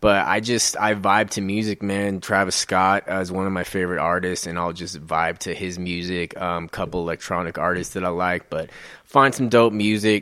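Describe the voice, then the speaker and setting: In an American accent, the speaker uses a bright, sharp tone at a moderate pace with hardly any pauses, on a very clean recording with a silent background. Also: man, very deep, low pitch for a man. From Colorado (Aurora). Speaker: mixed media artist. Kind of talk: interview conversation.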